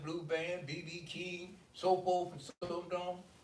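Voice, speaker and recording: There is noticeable background noise as a man speaks in a high pitch. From US South, Birmingham, Alabama. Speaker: panel guest. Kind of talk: casual group discussion.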